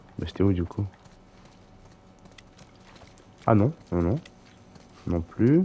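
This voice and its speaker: At a very slow pace with long, frequent pauses, a man with a fairly low pitch speaks with lively intonation. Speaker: gaming streamer. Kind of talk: live gameplay commentary. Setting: live stream. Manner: hesitant, many fillers.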